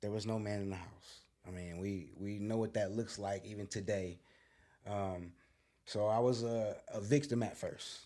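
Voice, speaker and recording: This man's voice has a dark, mellow tone and a fairly low pitch. He keeps a moderate pace with fairly even intonation. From US inner city. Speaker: guest sharing life story, YouTuber and author. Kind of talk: podcast interview, personal testimony. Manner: casual, slangy.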